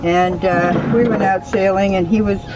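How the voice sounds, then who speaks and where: A woman with an American accent speaks at medium pitch. Her pitch varies in an ordinary way, with noticeable background noise. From United States. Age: 70s. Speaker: sailing tour company owner, boat captain. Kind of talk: interview answer.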